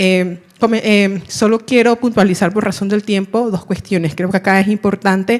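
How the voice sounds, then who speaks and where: Words come at a moderate speed. The intonation is fairly even. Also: woman, medium pitch for a woman. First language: Miskito (speaking Spanish). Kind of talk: audience question at panel. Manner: halting, many fillers.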